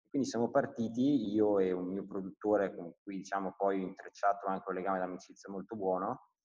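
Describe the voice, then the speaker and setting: Recorded dry and close with no echo, a man with a plain, everyday voice talks fairly quickly, his fairly low pitch holding a fairly even intonation. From northern Italy (Brescia, Lombardy). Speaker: entrepreneur, perfume brand founder. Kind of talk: casual interview chat.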